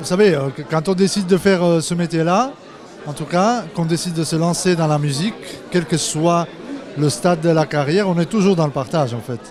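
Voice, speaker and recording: The speech runs at a fairly quick pace with ordinary pitch variation, and noticeable background noise sits behind it. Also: man. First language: not French (speaking French). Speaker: pianist. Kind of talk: interview.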